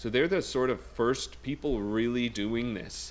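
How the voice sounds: The pace is slow. Pitch varies in an ordinary way. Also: man.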